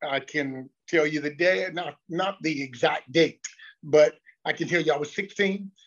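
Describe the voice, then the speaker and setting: A man with a Southern US accent, fairly high pitch, ordinary pitch variation and a fairly slow pace. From US South, North Carolina (Lexington). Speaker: pastor. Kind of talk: casual chat.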